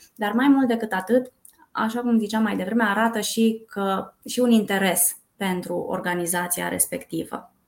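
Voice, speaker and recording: This woman has an unremarkable speaking voice, fairly high in pitch. She keeps a moderate pace and fairly even intonation. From Brașov, Romania. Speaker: recruitment coordinator. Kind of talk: podcast interview.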